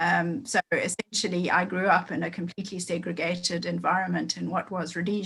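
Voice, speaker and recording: With a Zimbabwean accent, a woman speaks at a fairly low pitch with vocal fry and fairly even intonation. Her fairly quick delivery has hardly any pauses, in a dry, close sound with no echo. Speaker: meeting participant in a race equality group. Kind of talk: group meeting check-in. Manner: halting, many fillers.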